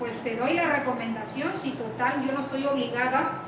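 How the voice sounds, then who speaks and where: A woman speaks in a high pitch with audible room echo. Noticeable background noise runs underneath. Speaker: lecturer. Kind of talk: lecture. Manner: frequent filler words and hesitations.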